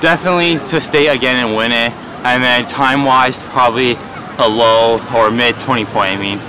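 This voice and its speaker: A man talks at a moderate pace, and background noise is noticeable. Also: ordinary pitch variation, dry sound with no echo. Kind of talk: interview answer. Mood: calm, pleased after win. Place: stadium.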